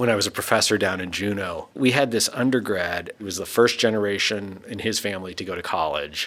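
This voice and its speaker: A plain, everyday voice from a man, fairly low-pitched and fairly quick, its pitch varying in an ordinary way. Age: 40s. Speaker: physicist and former professor. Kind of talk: casual conversation interview. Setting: recording booth at a university.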